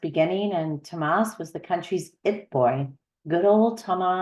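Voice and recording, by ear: A natural voice reading aloud over a quiet background, its pitch varying in an ordinary way.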